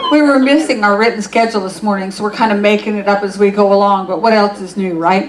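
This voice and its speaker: A woman talks at a very fast pace. Audible room echo and noticeable background noise fill the clip. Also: medium pitch for a woman, ordinary pitch variation. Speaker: pastor. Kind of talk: church service welcome and announcements. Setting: church. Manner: casual, halting.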